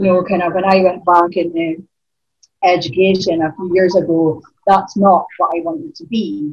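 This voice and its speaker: In a northeast Scottish accent, a woman with a fairly low pitch speaks at a moderate pace with fairly even intonation and big swings in loudness. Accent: Scottish (north-east). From Aberdeen, Scotland. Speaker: spoken word poet. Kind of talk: casual interview chat.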